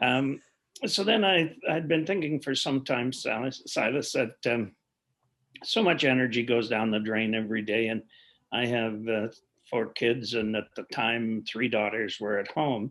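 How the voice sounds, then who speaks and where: In a very clean recording with a silent background, a man with a western Canadian accent speaks fairly slowly at medium pitch with ordinary pitch variation. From Alberta, Canada. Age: 60s. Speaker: clean energy company executive. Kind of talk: podcast interview.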